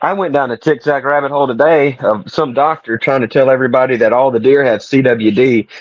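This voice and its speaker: Talking at a very fast pace with hardly any pauses, a man with a Southern US accent keeps his loudness very even. His medium-pitched voice shows ordinary pitch variation. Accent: soft Southern US. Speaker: podcast co-host. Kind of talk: casual chat. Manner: gentle, soft-spoken.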